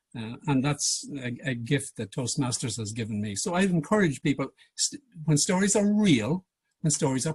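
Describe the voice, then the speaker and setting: A somewhat breathy man talks at a moderate pace with lively intonation, the sound dry and close with no echo against a quiet background. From Ireland. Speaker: public speaking coach. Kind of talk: workshop presentation. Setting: video call.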